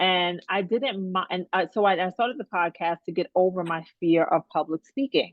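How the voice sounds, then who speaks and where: The woman has a medium pitch. Her pitch variation is ordinary. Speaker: coaching client. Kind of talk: coaching session. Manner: fast.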